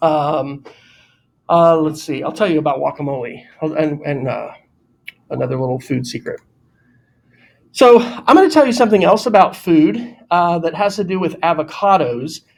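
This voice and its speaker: Here a man talks at a moderate pace with a fairly high pitch. His pauses are long and frequent. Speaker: teacher. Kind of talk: classroom lesson. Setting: classroom.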